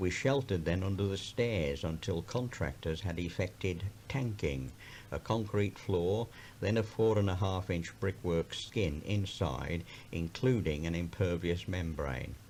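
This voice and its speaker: A very deep, low-pitched man with an English Midlands accent on a very clean recording with a silent background. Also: ordinary pitch variation, fairly slow pace. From Birmingham, England. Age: 70s. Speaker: county councillor. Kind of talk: personal memoir recording.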